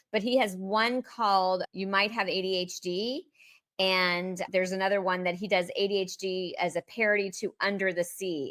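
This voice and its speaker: In a very clean recording with a silent background and a dry, close sound with no echo, a woman speaks at a medium pitch with a bright, sharp tone. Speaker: podcast host. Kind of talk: podcast conversation.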